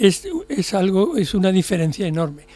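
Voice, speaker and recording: At a moderate pace, a man speaks with a high pitch and lively intonation while music plays in the background. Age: 70s. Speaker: psychiatrist. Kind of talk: radio interview. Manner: halting, with repetitions.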